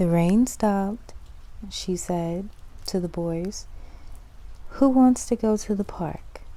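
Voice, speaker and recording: A soft-spoken woman talks in a dark, mellow, soothing tone with ordinary pitch variation. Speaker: ASMR creator. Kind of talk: children's story reading. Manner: soft-spoken, soothing.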